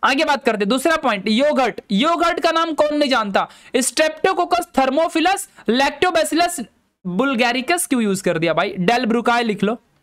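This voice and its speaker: Against a quiet background, a man speaks at a fairly slow pace in an extremely high voice with very wide pitch swings and very even loudness. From Madhya Pradesh, India. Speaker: online biology teacher. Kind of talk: lecture. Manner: casual, chatty.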